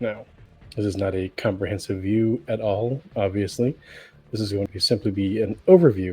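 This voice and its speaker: Over music in the background, a man speaks at a fairly low pitch and a moderate pace with fairly even intonation. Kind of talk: commentary video talk to camera.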